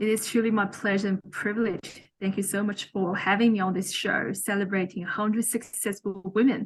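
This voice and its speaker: Somewhat breathy and at a medium pitch, a woman speaks at a fairly quick pace with hardly any pauses and monotone, flat intonation. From China. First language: Chinese. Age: young. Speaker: mentor and author. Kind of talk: interview.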